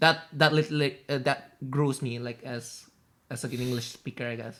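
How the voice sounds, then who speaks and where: Speaking at a moderate pace with an Indonesian accent, a man uses a medium pitch and fairly even intonation, with big swings in loudness. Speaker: podcast co-host. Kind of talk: casual chat. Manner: halting.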